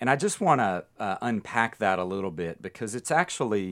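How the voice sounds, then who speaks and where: A man talks at a moderate pace in a normal speaking voice, pitched fairly low with ordinary pitch variation. The recording is very clean, with a silent background. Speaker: pastor and advocacy group director. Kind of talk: radio interview.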